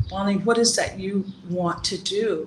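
A woman with an American accent talks at a fairly slow pace and medium pitch, keeping fairly even intonation over noticeable background noise. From US East Coast (South Carolina, Washington D.C.). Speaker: grief doula and life coach. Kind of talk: interview. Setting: video call.

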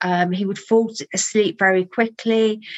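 At a fairly slow pace, a woman talks with fairly even intonation in a slight Birmingham accent. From Birmingham, England. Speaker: holistic therapy trainer and author. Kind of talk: interview.

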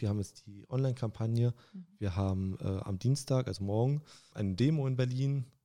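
A dark, mellow tone with ordinary pitch variation, on a very clean recording against a silent background. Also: man. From Saxony-Anhalt, Germany (Stendal). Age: 20s. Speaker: railway clerk and union youth activist. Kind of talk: casual chat.

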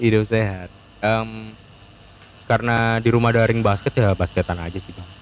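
A man speaks at a moderate pace and medium pitch with fairly even intonation. His loudness swings widely, and he takes long, frequent pauses. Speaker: student guest. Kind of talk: casual chat.

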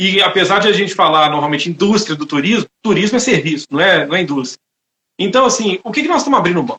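Talking at a very fast pace, a man projects a raised voice at a high pitch with lively intonation. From Brazil, Itabira (Minas Gerais). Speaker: lawyer, webinar host. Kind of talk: live online talk, interview. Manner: halting, many fillers.

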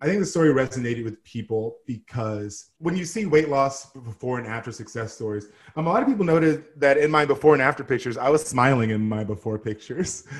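A man with an American accent at a very fast pace with hardly any pauses, medium-pitched, somewhat breathy, animated in tone, with lively intonation. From Texas. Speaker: model and TV host. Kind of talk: casual interview chat. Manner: animated, big personality.

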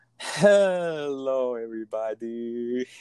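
This is a put-on character voice pitched low-to-middle. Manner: cheery.

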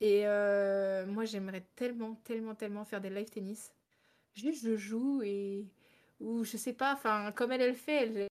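A woman with a normal speaking voice, fairly high pitch, fairly even intonation and a fairly slow pace, on a very clean recording with a silent background. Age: 20s. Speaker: streamer. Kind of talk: casual chat.

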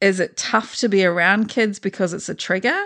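With ordinary pitch variation and a medium pitch, a woman's voice is heard over a quiet background. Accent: New Zealand. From New Zealand. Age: 40s. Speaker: podcast host. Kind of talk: casual chat.

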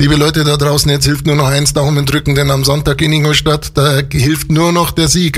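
Somewhat breathy, a man with a fairly high pitch speaks at a moderate pace. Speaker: local radio host. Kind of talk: radio show presenting and interview. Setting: radio studio. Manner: animated.

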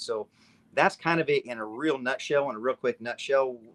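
A man with an American accent and an ordinary speaking voice speaks at a medium pitch, the sound dry and close with no echo on a very clean recording with a silent background. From Nevada. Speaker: activist organizer. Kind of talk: interview.

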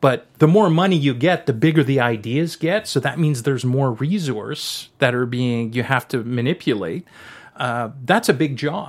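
The recording is very clean with a silent background. A man speaks at a moderate pace. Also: medium pitch for a man, lively intonation. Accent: French Canadian. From French Canada. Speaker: cinematographer. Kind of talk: interview.

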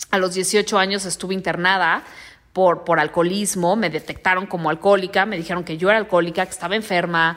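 A woman with a Mexican accent speaks in an animated tone. Her pace is fairly quick. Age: 30s. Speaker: podcast host and life coach. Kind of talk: motivational monologue.

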